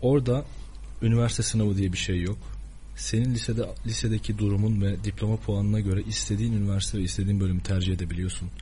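A man's fairly low voice at a very fast pace, very even in loudness, with audible room echo. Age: 20s. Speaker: journalism student. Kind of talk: radio interview.

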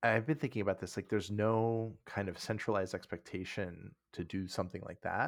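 The recording is very clean, with a silent background. A man with a fairly low voice speaks with hardly any pauses and ordinary pitch variation. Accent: American. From US Midwest. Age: 40s. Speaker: old friend of the host. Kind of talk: casual chat.

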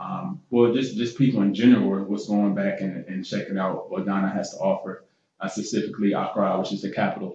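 In an American accent, a man with an unremarkable speaking voice and a fairly low pitch talks at a fairly quick pace with ordinary pitch variation. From US Midwest, Columbus, Ohio. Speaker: retired pro football player. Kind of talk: casual interview chat.

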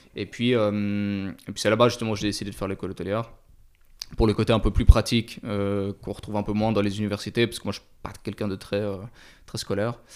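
Talking very fast at a fairly low pitch, a man keeps a monotone, flat intonation while his loudness swings widely, in a very clean recording with a silent background. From Switzerland, Lausanne area. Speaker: vintage watch dealer. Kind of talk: casual interview chat. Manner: halting, many fillers.

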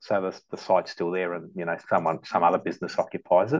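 Against a quiet background, a man talks with an Australian accent. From Melbourne western suburbs, Australia (born in Malta, migrated at 7). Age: 40s. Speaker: long-serving company employee, sales account manager. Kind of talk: casual interview chat.

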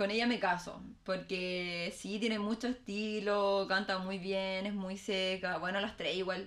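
A woman with a Chilean accent, medium pitch, fairly slow pace, monotone flat intonation, hardly any pauses, and noticeable background noise. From Chile, Valparaíso. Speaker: political candidate. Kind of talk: casual chat.

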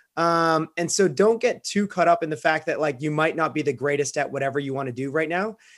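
The recording is very clean with a silent background, carrying a man's plain, everyday voice at a fairly high pitch with ordinary pitch variation. He moves at a fairly quick pace with hardly any pauses. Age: 30s. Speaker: professional kayaker and real estate investor. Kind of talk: podcast interview.

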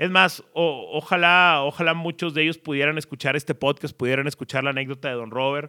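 A man's plain, everyday voice, fairly high-pitched, at a fairly quick pace with fairly even intonation and hardly any pauses. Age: 30s. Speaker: sports journalist and podcaster. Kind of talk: storytelling monologue.

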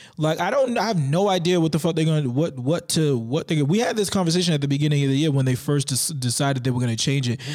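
At a very fast pace with hardly any pauses, a man speaks in a fairly high, animated voice at very even loudness. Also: ordinary pitch variation. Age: 30s. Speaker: podcast host. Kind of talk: casual banter podcast chat. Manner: profane, animated.

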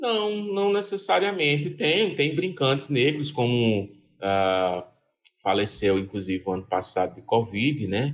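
Speaking at a fairly slow pace, a man with a medium pitch uses very wide pitch swings. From Pernambuco sertão, Brazil. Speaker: cultural association president, puppetry museum head. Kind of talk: interview conversation.

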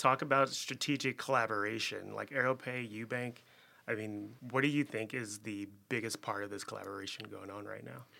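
A man with an American accent, a normal speaking voice, medium pitch, fairly even intonation and big swings in loudness, on a very clean recording with a silent background. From Chicago. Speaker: podcast host. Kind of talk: casual interview chat. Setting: studio.

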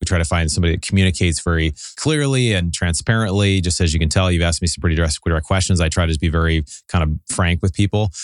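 Over a quiet background, a man with an American accent talks at a very fast pace in a very deep, low pitch. His loudness stays very even while his pitch varies in an ordinary way. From Seattle, Pacific Northwest US. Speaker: real estate investor and podcast host. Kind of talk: casual interview chat. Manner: fast talker.

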